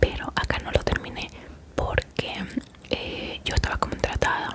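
Loud background noise in a dry sound with no echo. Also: woman. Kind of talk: casual vlog chat. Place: home room. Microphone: studio mic.

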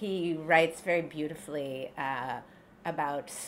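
Over light background noise, a woman with an American accent and fairly low pitch speaks at a very slow pace. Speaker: novelist. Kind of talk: author talk. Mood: relaxed, smiling. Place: cafe. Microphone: camera far.

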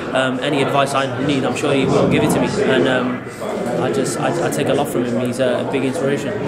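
A fairly quick pace under loud background noise. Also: man. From Wales, Cardiff. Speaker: professional boxer. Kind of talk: post-fight interview. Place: hall.

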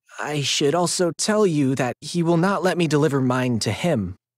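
A man puts on a whiny character voice, fairly high-pitched, with lively intonation at a moderate pace. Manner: cajoling, falsely warm, anxious; whining, fearful.

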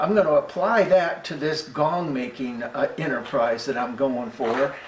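A man's voice over light background noise, with audible room echo. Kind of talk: casual workshop vlog explanation. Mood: relaxed, good-humored. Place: workshop. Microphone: camera far.

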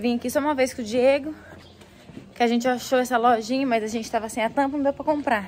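Over light background noise, a woman with a high pitch speaks at a very fast pace with fairly even intonation. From Brazil, Presidente Prudente, São Paulo state; São Paulo state, Brazil. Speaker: vlogger. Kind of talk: casual vlog. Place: street. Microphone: phone near.

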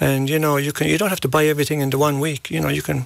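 Recorded dry with no echo over a quiet background, a man speaks with a Kerry accent. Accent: Irish (Kerry). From Ireland, County Kerry; Ireland. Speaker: golf coach. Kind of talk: interview. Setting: radio studio. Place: studio. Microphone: studio mic.

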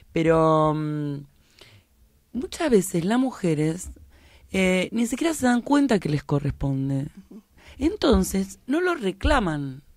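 Very slow speech with long, frequent pauses comes through with a dry sound and no echo. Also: woman, quiet background. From Argentina, La Plata; Argentina. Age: 50s. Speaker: political activist; guest. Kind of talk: radio interview. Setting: radio studio. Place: studio. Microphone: studio mic.

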